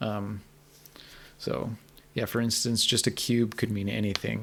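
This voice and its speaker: In a fairly low pitch, a man talks with a monotone, flat intonation. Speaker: game narrative analyst streamer. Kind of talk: live stream commentary. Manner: fast.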